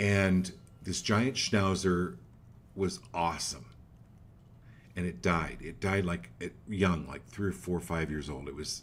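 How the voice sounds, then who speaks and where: At a fairly slow pace, the speaker shows vocal fry and ordinary pitch variation, with long, frequent pauses. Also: man, very deep, low pitch for a man. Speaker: psychic medium show host. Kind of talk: live call-in reading. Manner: animated.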